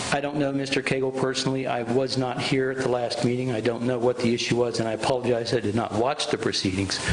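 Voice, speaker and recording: A man talks at a very fast pace with hardly any pauses, his intonation monotone and flat over noticeable background noise. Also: medium pitch for a man. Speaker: private citizen giving public comment. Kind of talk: public comment at a meeting. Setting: county commissioners' meeting. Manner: shaky voice when nervous; halting.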